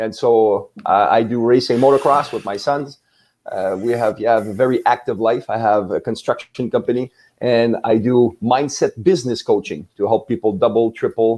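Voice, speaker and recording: His speaking voice is unremarkable, pitched medium for a man. He keeps a moderate pace with ordinary pitch variation. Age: 60s. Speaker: business mindset coach. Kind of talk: podcast interview.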